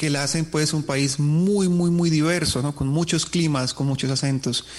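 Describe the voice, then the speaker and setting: The speaker's intonation is monotone and flat over a quiet background. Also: man. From southern Colombia, Nariño.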